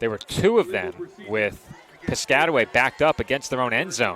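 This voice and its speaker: A man with a New York accent, fairly high in pitch, with noticeable background noise. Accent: Staten Island. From Staten Island, New York. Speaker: play-by-play announcer. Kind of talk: live commentary.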